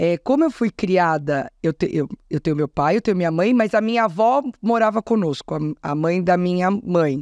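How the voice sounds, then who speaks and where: At a moderate pace and with hardly any pauses, a woman speaks with lively intonation, the sound dry with no echo and the background quiet. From São Paulo, Zona Norte; São Paulo. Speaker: state culture secretary; interview guest. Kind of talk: interview. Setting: studio. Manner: talkative. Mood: relaxed, conversational. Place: studio. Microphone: studio mic.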